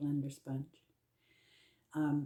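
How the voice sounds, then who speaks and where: A woman speaks in a very deep, low voice with a dark, mellow tone. Her delivery is somewhat breathy. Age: 60s. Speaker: beauty vlogger. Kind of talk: makeup tutorial. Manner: casual, hesitant with many fillers.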